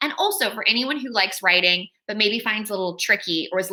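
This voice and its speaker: A woman with an American accent talks at a very fast pace. Her medium-pitched voice is bright and sharp, with ordinary pitch variation. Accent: American, noticeable to UK audience. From California. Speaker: children's author. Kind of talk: author talk to school pupils.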